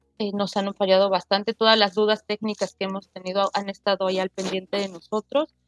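A woman's medium-pitched, monotone voice at a fairly quick pace with hardly any pauses, dry and close with no echo. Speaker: web3 developer. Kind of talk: casual interview. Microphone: unstable internet connection.

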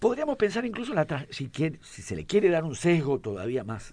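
A man talks with vocal fry at a fairly high pitch. His pitch swings very widely. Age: 80s+. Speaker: writer and teacher. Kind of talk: radio interview. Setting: studio.

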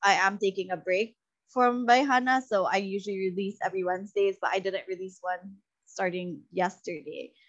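A woman speaks at a medium pitch and a moderate pace. Her intonation stays fairly even. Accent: Visayan Filipino. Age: 30s. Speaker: content creator and podcaster. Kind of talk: casual interview chat.

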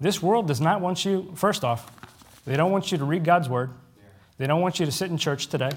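Very fast speech from a man with a fairly high pitch, ordinary pitch variation, and audible room echo. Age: 30s. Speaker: preacher. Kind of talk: sermon. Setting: church with congregation.

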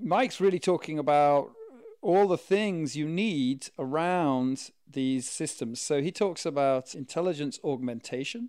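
On a very clean recording with a silent background, a man with an ordinary speaking voice, fairly high in pitch, talks at a fairly slow pace with lively intonation. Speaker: podcast co-host. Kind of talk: casual chat.

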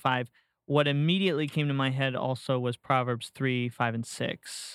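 Here is a man with an ordinary speaking voice and an American accent. He talks at a moderate pace with a fairly high pitch. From Florida. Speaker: podcast host. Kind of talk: casual chat. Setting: studio.

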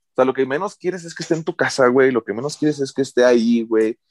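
A man speaks in a normal speaking voice at a medium pitch with lively intonation. The background is quiet and the sound is dry and close, with no echo. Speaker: teacher, podcast co-host. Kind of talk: casual chat.

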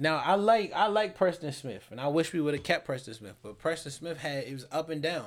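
Here is a man with an ordinary speaking voice, fairly high in pitch, talking at a fairly quick pace with hardly any pauses. His intonation is lively, and his loudness swings widely. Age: 20s. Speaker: sports podcast host. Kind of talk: casual chat.

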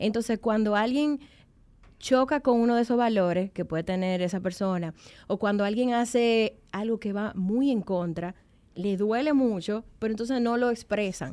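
On a very clean recording with a silent background, a woman speaks at a moderate pace in a fairly high pitch with a dark, mellow tone and ordinary pitch variation. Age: 30s. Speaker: self-knowledge coach. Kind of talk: casual chat.

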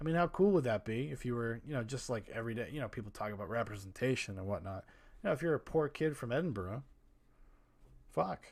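Recorded very cleanly against a silent background, a man speaks at a very fast pace. His pitch is medium, with lively intonation. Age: 30s. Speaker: podcast host. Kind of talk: solo movie podcast monologue. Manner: casual, rambling with filler words.

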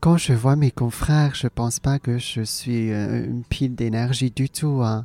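A dark, mellow tone at a fairly slow pace, with fairly even intonation and a dry, close sound with no echo. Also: woman, very deep, low pitch for a woman. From Hong Kong, then Alsace. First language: Cantonese (speaking French). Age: 40s. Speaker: comedian. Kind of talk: interview conversation. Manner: hesitant, many fillers and repetitions.

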